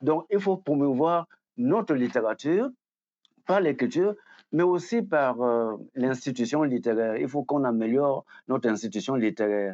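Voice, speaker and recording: Against a quiet background, a man with a dark, mellow tone and medium pitch talks at a moderate pace with lively intonation. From Cameroon. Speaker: writer and academic. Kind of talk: interview. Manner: halting, many fillers.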